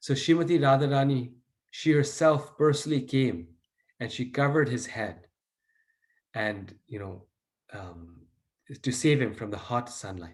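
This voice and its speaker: A man at medium pitch, somewhat breathy and fairly slow, with long, frequent pauses, big swings in loudness and audible room echo. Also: lively intonation. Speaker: devotional teacher. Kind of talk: lecture.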